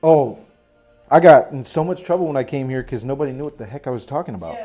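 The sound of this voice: With a Michigan accent, a man with a fairly high pitch talks at a very fast pace with lively intonation and big swings in loudness. Music plays in the background.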